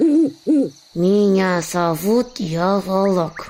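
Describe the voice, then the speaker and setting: This is a put-on character voice that sounds female, pitched in the medium range for a woman. Hissing can be heard. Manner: hissing, menacing.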